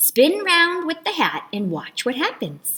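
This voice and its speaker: This woman puts on a character voice and talks fairly slowly. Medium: read story. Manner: sly, playful.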